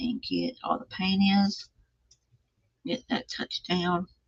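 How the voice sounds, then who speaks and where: A woman speaks with a Texan accent. The sound is dry and close, with no echo. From Texas, small town east of Dallas. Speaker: craft livestreamer. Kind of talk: casual craft tutorial livestream.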